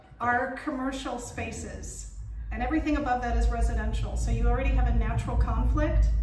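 A woman speaks at a fairly quick pace. The room echo is audible, and there is noticeable background noise. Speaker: cooking school owner and author. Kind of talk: casual chat. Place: kitchen.

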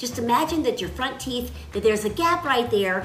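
A woman with a high pitch over noticeable background noise. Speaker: voice actor giving tips. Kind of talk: tutorial. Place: home room. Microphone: phone near.

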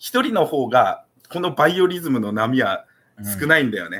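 A man is speaking. His pace is very fast. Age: 30s. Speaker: YouTuber. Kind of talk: casual livestream chat. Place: home room. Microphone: webcam.

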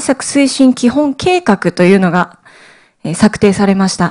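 Her pitch swinging very widely, a woman speaks in a dark, mellow tone over a quiet background. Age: 30s. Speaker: cancer survivor and cancer education advocate. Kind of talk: lecture. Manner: formal. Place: hall. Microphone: podium.

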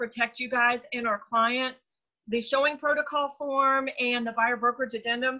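A woman with a bright, sharp tone and high pitch speaks at a moderate pace with fairly even intonation against a quiet background. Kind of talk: meeting update talk. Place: home room. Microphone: video call.

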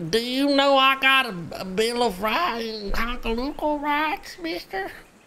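In a put-on character voice, a female-sounding speaker talks at a high pitch. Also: moderate pace. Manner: stammering, naive.

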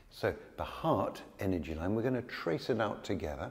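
A man speaks at a moderate pace in a dark, mellow tone. His voice is somewhat breathy. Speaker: yoga teacher. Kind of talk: tutorial. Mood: calm, gentle. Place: studio. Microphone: lapel.

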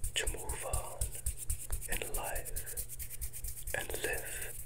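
A man speaks over loud background noise. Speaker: ASMR creator. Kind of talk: soft soothing ASMR talk. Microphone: earbuds.

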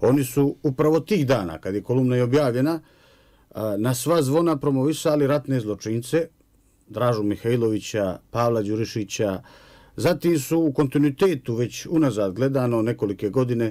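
Over a quiet background, the man's voice has a dark, mellow tone. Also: ordinary pitch variation, moderate pace. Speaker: guest, professor. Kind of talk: interview answer. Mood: serious, measured. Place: studio. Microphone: studio mic.

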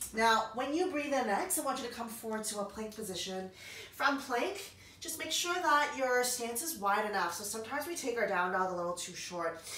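A woman at a fairly quick pace with very wide pitch swings, in audible room echo. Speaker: yoga instructor. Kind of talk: guided yoga class. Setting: home. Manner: calm, soothing. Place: home room. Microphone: camera far.

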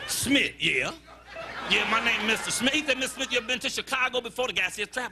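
Amid noticeable background noise, a man speaks in an animated tone at an extremely high pitch and a fairly quick pace. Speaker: stand-up comedian. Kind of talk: stand-up comedy set working the crowd, joke-telling with punchlines. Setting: stage with live audience. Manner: animated, conversational crowd-work with repeated phrases and audience banter; storytelling build-ups punctuated by quick punchlines and his own laughter.

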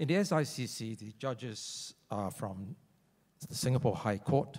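A man at a fairly slow pace with lively intonation, against a quiet background. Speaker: arbitration lawyer. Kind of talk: conference presentation. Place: hall. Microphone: handheld.

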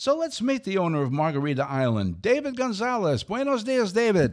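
At a fairly quick pace, a man speaks with lively intonation against a quiet background. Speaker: talk show co-host. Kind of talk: radio show host introduction. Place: studio. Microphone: studio mic.

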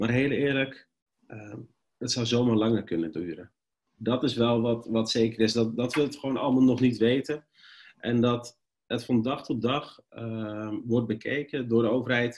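The background stays quiet. A man talks at a moderate pace, his intonation fairly even. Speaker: presenter. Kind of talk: webinar presentation. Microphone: webcam.

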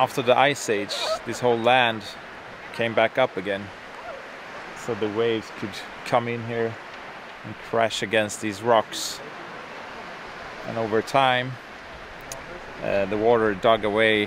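Over noticeable background noise, a man talks in a flat monotone at a fairly slow pace, with long, frequent pauses and a dry sound with no echo. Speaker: travel vlogger. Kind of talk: casual explanatory vlog commentary. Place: beach. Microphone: camera far.

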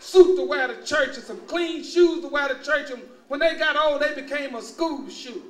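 A man's extremely high-pitched voice in a Texas accent, at a fairly quick pace with ordinary pitch variation and audible room echo. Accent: Southern US, Texas. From Luling, Texas. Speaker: university administrator and former naval officer. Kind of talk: public lecture to an audience. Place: hall. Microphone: podium.

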